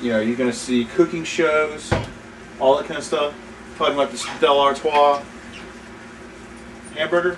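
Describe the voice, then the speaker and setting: The speech moves at a moderate pace with ordinary pitch variation and long, frequent pauses. Noticeable background noise can be heard. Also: man, fairly high pitch for a man. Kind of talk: casual cooking demonstration to camera. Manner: rambling, hesitant.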